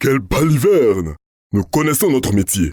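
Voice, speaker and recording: A man's growling, put-on character voice at medium pitch, with very wide pitch swings, a moderate pace, and a dry, close sound with no echo. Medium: read story. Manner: brusque, pompous.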